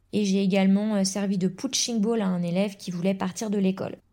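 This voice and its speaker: A woman speaks at a moderate pace in a medium pitch, her dark, mellow tone somewhat breathy. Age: 20s. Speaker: primary school teacher. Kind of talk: testimony.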